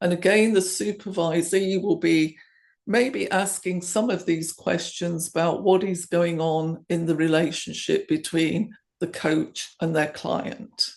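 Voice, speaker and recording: With an English accent, a woman speaks at a fairly slow pace, her fairly low pitch showing ordinary variation. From England. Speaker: coaching supervisor. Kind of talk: conference presentation.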